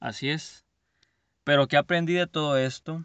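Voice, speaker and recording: Against a quiet background, a man speaks at a moderate pace and fairly high pitch. His tone is bright and sharp, with ordinary pitch variation and a dry, close sound with no echo. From Mexico, Culiacán, Sinaloa. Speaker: podcast host, entrepreneur. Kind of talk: motivational monologue. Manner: halting, with repeated words.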